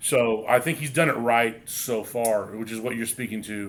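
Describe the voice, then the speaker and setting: A plain, everyday voice at a moderate pace with fairly even intonation. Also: man. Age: 30s. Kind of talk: casual chat. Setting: pub.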